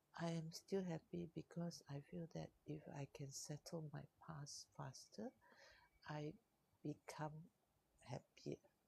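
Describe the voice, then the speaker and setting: A soft-spoken woman with a Malaysian accent talks very slowly, with long, frequent pauses and ordinary pitch variation. Her very deep, low voice is dark, mellow and somewhat breathy, with a dry, close sound and no echo. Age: 60s. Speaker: life coach. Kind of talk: live stream talk. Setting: co-working space.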